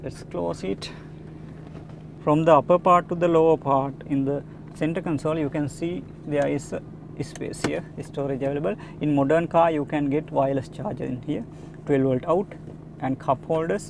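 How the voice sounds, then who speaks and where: A man speaks with a Sri Lankan accent, leaving long, frequent pauses. Noticeable background noise runs beneath him. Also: fairly high pitch for a man, ordinary pitch variation, moderate pace. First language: Sinhala. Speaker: car reviewer, YouTuber. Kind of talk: walkaround car review. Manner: halting, many filler uhs.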